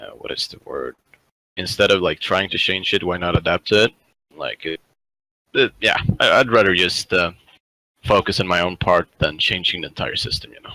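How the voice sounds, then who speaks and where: A man talks at a moderate pace with a slight Swedish accent, taking long, frequent pauses. His loudness swings widely, and the sound is dry and close with no echo. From northern Sweden. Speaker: programming student. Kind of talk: casual interview chat.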